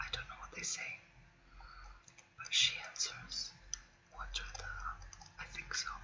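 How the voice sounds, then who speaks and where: A whispering woman at a fairly slow pace, with long, frequent pauses, big swings in loudness and noticeable background noise. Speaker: ASMR creator. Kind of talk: ASMR makeup collection chat. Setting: webcam recording at home. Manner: whispered.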